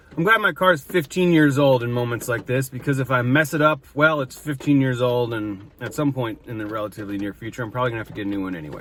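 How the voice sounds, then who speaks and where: Against noticeable background noise, a man with an American accent talks at a very fast pace, his medium pitch carrying lively intonation. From Wisconsin. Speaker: food vlogger. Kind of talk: casual food review. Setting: in a car. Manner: animated.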